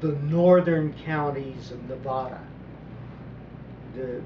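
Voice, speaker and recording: A man with an American accent and fairly even intonation, amid noticeable background noise and audible room echo. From US South, southeast Texas (Port Arthur). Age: 70s. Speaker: political commentator. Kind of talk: monologue commentary. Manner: halting, repeats words.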